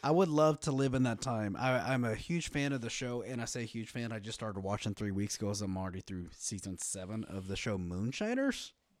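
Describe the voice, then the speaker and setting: A man at medium pitch with a Texan accent, fairly quick pace, hardly any pauses, ordinary pitch variation, and a very clean recording with a silent background. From West Texas. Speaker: podcast guest. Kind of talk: casual chat.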